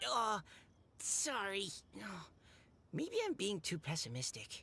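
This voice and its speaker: Someone does a put-on character voice at a fairly high pitch and a fairly slow pace. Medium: video game. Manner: hesitant, downbeat.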